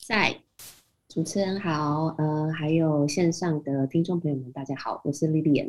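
Very deep and low, a woman's voice moves at a fairly slow pace with fairly even intonation. The background is quiet. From Taiwan. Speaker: IT business development manager. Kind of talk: interview.

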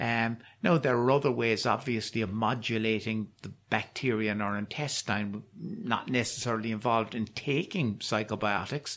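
A man with a Cork accent at a moderate pace, medium pitch, and hardly any pauses. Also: ordinary pitch variation. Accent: Cork Irish. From Ireland, Cork. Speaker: professor of psychiatry. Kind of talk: interview. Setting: on location at university. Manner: halting, repeats words.

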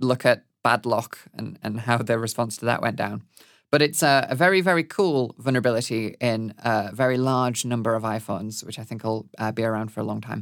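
Fairly quick speech comes through in a very clean recording with a silent background. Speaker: podcast host. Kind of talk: monthly news review, solo monologue. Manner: informal, hesitant with many fillers.

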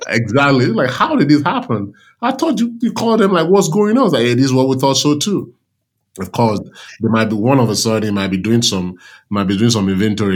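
Very fast talk from a man, captured in a very clean recording against a silent background. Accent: Nigerian. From Nigeria. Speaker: army veteran and supply chain consultant. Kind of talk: interview conversation.

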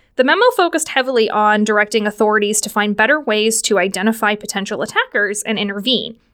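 A woman speaks at a very fast pace with hardly any pauses, her pitch fairly high and its variation ordinary. The recording is very clean, with a silent background. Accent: American. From Pittsburgh area, Pennsylvania. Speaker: podcast host. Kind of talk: solo news wrap-up. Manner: upbeat.

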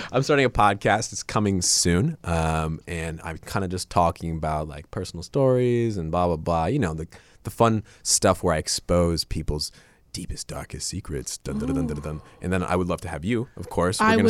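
Very deep and low, a man's voice moves at a moderate pace with lively intonation. The recording is very clean with a silent background. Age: 20s. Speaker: podcast guest, YouTuber and comedian.

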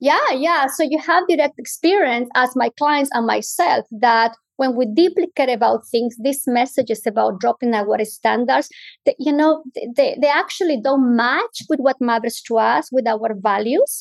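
A high-pitched woman's voice with lively intonation and very even loudness. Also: moderate pace. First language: not English. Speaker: clinical psychologist. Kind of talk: interview.

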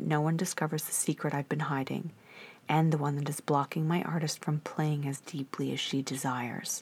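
Very deep and low in pitch, a woman speaks at a moderate pace on a very clean recording with a silent background. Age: 40s. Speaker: podcast host and actress. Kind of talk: reading aloud.

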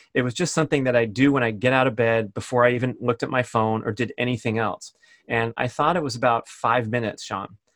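A man's medium-pitched voice at a very fast pace. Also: dry, close sound with no echo. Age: 50s. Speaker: podcaster and speed golfer. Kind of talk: casual interview. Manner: animated.

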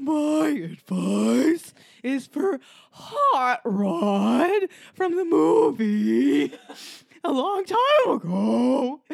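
The speaker uses a put-on character voice and goes along at a very slow pace. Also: woman, high pitch for a woman. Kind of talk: comic overacting. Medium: actual play. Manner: slow, drawn-out.

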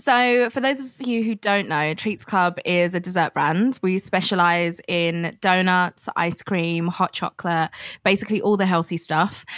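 Recorded with a dry, close sound and no echo, a woman with a plain, everyday voice talks at a fairly slow pace with hardly any pauses, medium pitch and ordinary pitch variation. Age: 20s. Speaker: food business founder. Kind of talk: interview.

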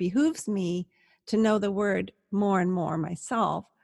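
The recording is very clean, with a silent background and a dry, close sound with no echo. A woman with medium pitch and ordinary pitch variation sounds somewhat breathy. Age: 60s. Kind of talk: interview conversation.

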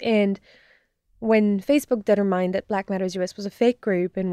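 A woman with a dark, mellow tone talks at a fairly quick pace in monotone, flat intonation. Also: dry, close sound with no echo, very clean recording, silent background. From France. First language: French. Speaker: disinformation researcher. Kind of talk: interview.

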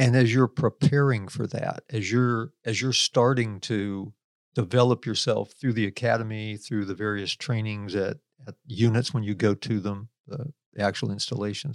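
A man speaks at a moderate pace with fairly even intonation in an ordinary speaking voice. The sound is dry and close, with no echo. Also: medium pitch for a man. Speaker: co-host, special forces veteran. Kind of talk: interview conversation.

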